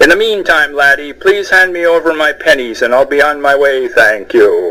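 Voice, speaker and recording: Growling in a put-on character voice, a man speaks at a moderate pace over light background noise. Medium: read story.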